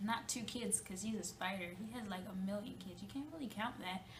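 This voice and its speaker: A fairly high female voice with ordinary pitch variation, amid noticeable background noise and audible room echo. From Jamaica. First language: Jamaican Patois. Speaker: student presenter. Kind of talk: class presentation; storytelling presentation. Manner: halting, with fillers.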